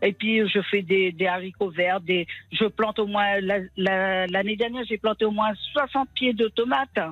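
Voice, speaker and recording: Music plays in the background while a woman speaks at a fairly slow pace. Her intonation is fairly even and her loudness very even. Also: medium pitch for a woman. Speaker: caller. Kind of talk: casual chat. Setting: phone call.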